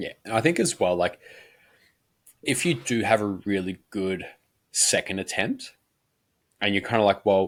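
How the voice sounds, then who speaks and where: A man with a fairly low pitch talks at a moderate pace, leaving long, frequent pauses. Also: ordinary pitch variation, very clean recording, silent background. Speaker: powerlifting coach and podcast co-host. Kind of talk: casual chat. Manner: conversational, casual; quiet close talk.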